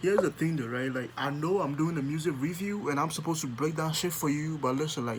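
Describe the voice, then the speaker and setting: A man with a Ghanaian accent, fairly high pitch and a very fast pace, against noticeable background noise. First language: Akuapem Twi. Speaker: music reaction YouTuber. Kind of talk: music reaction commentary. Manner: animated.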